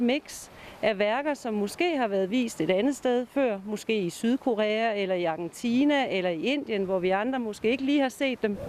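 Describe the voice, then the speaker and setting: Hardly any pauses interrupt this moderate-paced speech. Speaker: exhibition organizer. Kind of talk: interview.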